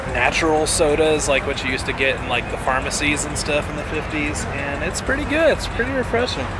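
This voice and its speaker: A man talks at a fairly quick pace over loud background noise, his voice dry with no echo. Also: hardly any pauses. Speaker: festival vlogger. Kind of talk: casual vlog chat. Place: street. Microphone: phone near.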